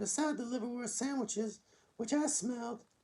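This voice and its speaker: The speaker uses a put-on character voice with a sing-song lilt. The pace is moderate. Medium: read story. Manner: sing-song, gentle.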